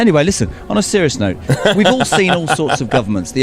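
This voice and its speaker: Speaking very fast with lively intonation, a man with an English accent is heard over noticeable background noise. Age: 60s. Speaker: political campaigner. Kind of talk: street vox pop interviews. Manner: animated.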